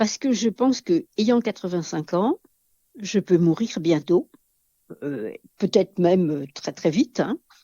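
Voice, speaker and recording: A woman talks at a very slow pace with long, frequent pauses, her pitch swinging very widely. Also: medium pitch for a woman. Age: 80s+. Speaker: elderly home-care client. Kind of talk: interview testimony. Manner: halting.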